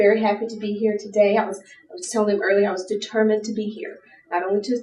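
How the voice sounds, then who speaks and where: Fairly high-pitched woman with an American accent, against noticeable background noise. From US South. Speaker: lawyer and pageant titleholder speaker. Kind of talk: seminar talk.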